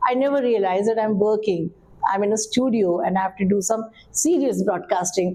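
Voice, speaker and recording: Noticeable background noise accompanies a woman talking at a fairly quick pace. Her medium-pitched voice has ordinary pitch variation. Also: very even loudness. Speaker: assistant director at All India Radio, radio broadcaster. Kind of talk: interview answer. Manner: warm, energetic, fluent.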